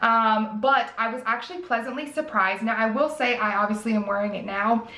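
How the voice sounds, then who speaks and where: With audible room echo, a woman with an American accent speaks fairly quickly at a fairly high pitch with ordinary pitch variation. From US South. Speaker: beauty youtuber. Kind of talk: product review. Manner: casual, chatty. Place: home room.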